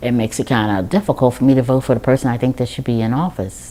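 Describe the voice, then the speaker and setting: A woman speaks in a very deep, low pitch with an American accent. Noticeable background noise sits behind her. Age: 60s. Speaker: voter affected by ID law. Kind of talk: testimony. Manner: halting.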